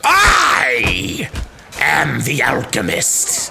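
Someone does a put-on character voice against noticeable background noise.

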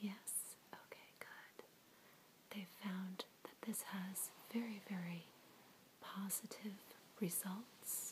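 A woman is whispering at a very slow pace. Her long pauses come often. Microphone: phone near.

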